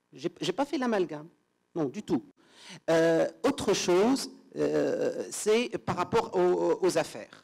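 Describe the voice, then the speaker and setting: Long, frequent pauses break up speech delivered at a very slow pace. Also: man, quiet background. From Tunisia. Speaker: law lecturer; panelist, law lecturer. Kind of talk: conference presentation; panel discussion. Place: hall.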